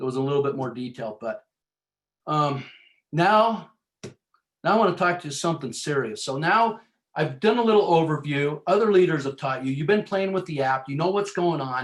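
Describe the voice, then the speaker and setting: A man's fairly high pitch with lively intonation. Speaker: team leader in sales business. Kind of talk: motivational team training call. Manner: fast; energetic.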